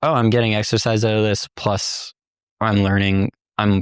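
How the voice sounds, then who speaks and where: Speaking at a moderate pace with a Canadian accent, a man with a fairly low pitch is heard on a very clean recording with a silent background and a dry, close sound with no echo. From Ontario, Canada (Sault Ste. Marie). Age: 30s. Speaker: competitive climber. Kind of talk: casual interview chat. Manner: hesitant, with many fillers.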